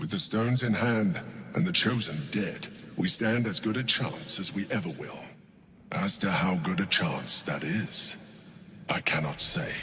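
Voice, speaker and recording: A man performs a put-on character voice with very wide pitch swings. Clear background noise is present. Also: medium pitch for a man, moderate pace. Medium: video game. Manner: measured, formal, aloof.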